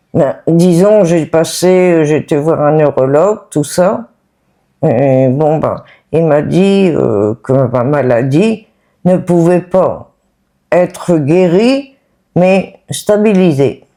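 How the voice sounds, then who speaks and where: A woman's very slow, fairly low-pitched speech with a dark, mellow tone, lively intonation and very even loudness. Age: 60s. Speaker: person living with Parkinson's. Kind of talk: testimony. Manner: halting.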